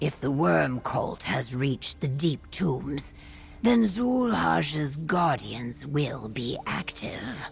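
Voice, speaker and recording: A put-on character voice at a low-to-middle pitch, very slow in pace, over clear background noise. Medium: video game. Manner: formal, no contractions.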